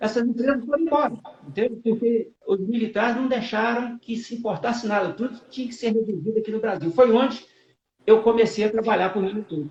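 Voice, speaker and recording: The pace is fairly quick. The speaker is a man with an extremely high pitch. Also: ordinary pitch variation. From Brazil, rural Minas Gerais. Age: 70s. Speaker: company director, engineer. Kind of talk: live-stream interview.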